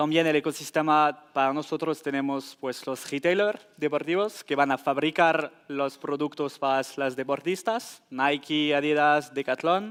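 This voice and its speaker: A man with a French accent, fairly high in pitch, at a fairly slow pace with fairly even intonation and hardly any pauses, on a very clean recording with a silent background. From France. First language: French (speaking Spanish). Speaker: tech company sports data specialist. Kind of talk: conference panel answer. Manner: halting, with fillers and restarts.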